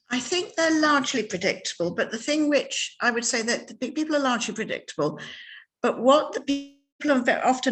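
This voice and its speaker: Over music in the background, a woman talks at a fairly quick pace with lively intonation. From Ireland. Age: 60s. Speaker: novelist. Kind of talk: interview. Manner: halting, many repetitions.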